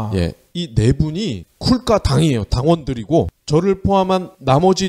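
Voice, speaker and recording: The sound is dry and close, with no echo at all. A man speaks at a fairly slow pace, his pitch swinging very widely. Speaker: economy podcast co-host, producer. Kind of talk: casual chat.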